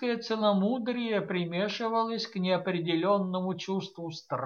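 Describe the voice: Plain reading aloud, nothing more.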